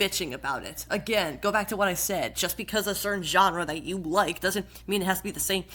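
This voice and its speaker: With vocal fry, a woman speaks at a fairly quick pace. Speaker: YouTuber, podcast host. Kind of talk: casual talk to camera.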